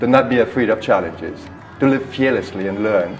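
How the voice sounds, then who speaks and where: A man speaks against noticeable background noise, with audible echo from the room. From Trinidad and Tobago. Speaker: spiritual teacher. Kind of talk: interview.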